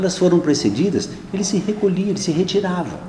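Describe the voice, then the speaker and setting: A man with a high voice talks at a moderate pace, with audible room echo and noticeable background noise in the recording. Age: 60s. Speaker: archbishop. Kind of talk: press conference answers. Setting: press conference room. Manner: hesitant, conversational.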